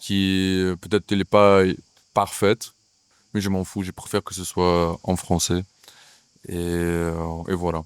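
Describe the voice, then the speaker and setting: A man's very deep, low voice, very slow and monotone, with long, frequent pauses and a dry, close sound with no echo in a very clean recording with a silent background. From Ukraine. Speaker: actor and playwright. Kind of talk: interview. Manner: hesitant, many fillers.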